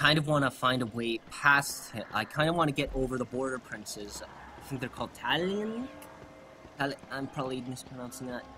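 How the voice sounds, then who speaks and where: A man talks fairly quickly as noticeable background noise continues around him. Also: medium pitch for a man, ordinary pitch variation. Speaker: gaming video creator. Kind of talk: let's play commentary. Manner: fast; casual, hesitant with fillers.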